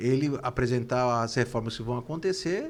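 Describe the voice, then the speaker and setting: Pitch varies normally while the delivery moves at a moderate speed. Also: man. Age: 60s. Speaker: football club politician, former presidential candidate. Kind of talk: interview. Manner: halting, repeats words.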